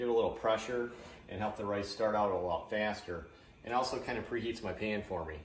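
A man talks at a very fast pace with fairly low pitch. Audible room echo is present. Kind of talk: tutorial. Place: kitchen.

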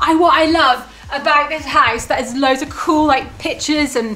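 A woman at a fairly quick pace, noticeable background noise behind her. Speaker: family vlogger mother. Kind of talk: casual vlog chat. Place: home room. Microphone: phone near.

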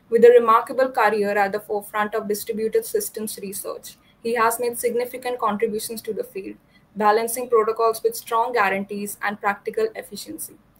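A woman talks at a fairly quick pace with a fairly high pitch. Her intonation is monotone and flat. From India. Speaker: student event host; event host. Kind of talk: scripted introduction; interview. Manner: formal. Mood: polite, warm.

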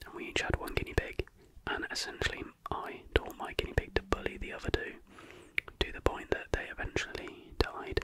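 A soft-spoken man whispers at a fairly quick pace, with big swings in loudness. The sound is dry with no echo, though noticeable background noise is present. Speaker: ASMR creator. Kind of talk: soft-spoken ASMR fact reading and chat. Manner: soft close-mic ASMR whisper. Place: home room. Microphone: studio mic.

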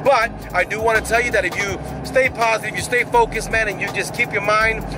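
A man at a very fast pace, dry sound with no echo, and noticeable background noise. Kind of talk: casual vlog chat. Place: car. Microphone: phone near.

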